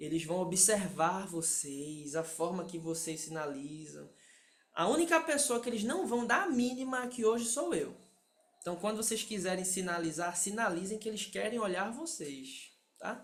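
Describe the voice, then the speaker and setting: A man's high-pitched voice with a Pernambuco accent, lively intonation, moderate pace and audible room echo. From Pernambuco, Brazil. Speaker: sign language interpreter and instructor. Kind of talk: lecture.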